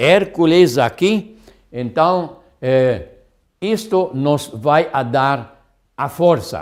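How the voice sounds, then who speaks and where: A man's fairly high voice with lively intonation at a very slow pace. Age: 70s. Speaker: health lecturer. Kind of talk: lecture. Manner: halting.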